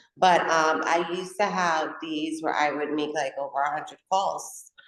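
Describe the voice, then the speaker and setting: A woman speaks at a moderate pace. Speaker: real estate agent. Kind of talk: casual interview chat. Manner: loud.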